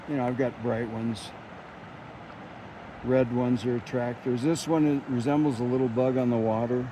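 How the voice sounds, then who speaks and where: With noticeable background noise, a man at medium pitch speaks at a moderate pace in a monotone, flat intonation, leaving long, frequent pauses. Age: 70s. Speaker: fly fisherman. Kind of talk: casual instruction.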